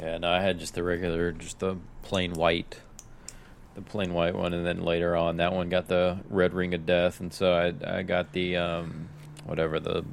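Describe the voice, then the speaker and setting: Very deep and low in pitch, a man speaks slowly in a Tennessee accent with flat, monotone intonation at a fairly slow pace. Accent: sounds like he's from Tennessee. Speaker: podcast co-host. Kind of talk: casual chat.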